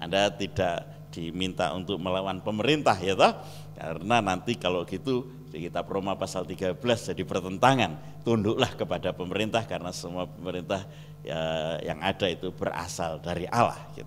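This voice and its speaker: A man speaks with a Javanese accent at a fairly quick pace. His pitch is very deep and low, with ordinary variation. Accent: Javanese-accented Indonesian. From Java, Indonesia. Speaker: pastor. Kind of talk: sermon.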